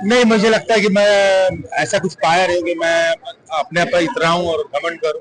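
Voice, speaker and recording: A man with a Bihari accent speaks at a moderate pace, his pitch high with ordinary variation. Noticeable background noise is present. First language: Bhojpuri (speaking Hindi). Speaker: film actor. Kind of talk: interview. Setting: award event.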